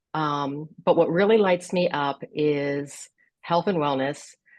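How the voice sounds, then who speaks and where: A woman speaks at a fairly slow pace with a very deep, low pitch. The background is quiet. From US Midwest, Columbus, Ohio. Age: 60s. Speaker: wellness advocate. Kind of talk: podcast interview. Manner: animated.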